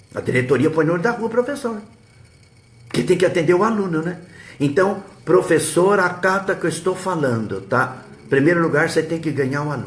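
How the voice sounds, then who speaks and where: Long, frequent pauses mark this man's high-pitched speech, which carries audible room echo. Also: lively intonation, fairly quick pace. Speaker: history teacher and web radio host. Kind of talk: live stream advice talk. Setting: live web broadcast.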